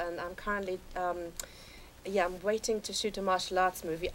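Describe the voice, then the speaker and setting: A woman speaks at a moderate pace with an English accent. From England (London). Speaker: actress. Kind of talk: talk show interview.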